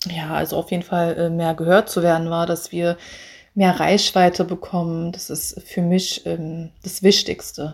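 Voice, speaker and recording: A woman's fairly low voice moves at a fairly slow pace in a monotone, flat intonation. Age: 30s. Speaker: singer. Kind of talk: self-interview, casual.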